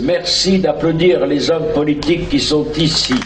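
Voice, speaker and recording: A man talks at a fairly slow pace with fairly even intonation and a fairly high pitch. Noticeable background noise sits under his voice. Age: 70s. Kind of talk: open-air sermon to a crowd. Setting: outdoors, PA system. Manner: blunt, street-slang, humorous.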